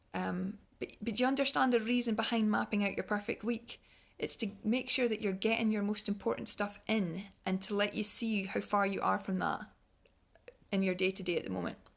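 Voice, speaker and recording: Fairly quick and fairly even in intonation, the speech comes in a Scottish accent over a quiet background. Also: woman, medium pitch for a woman. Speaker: wellness speaker. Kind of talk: online talk. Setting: online livestream. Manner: fast; halting.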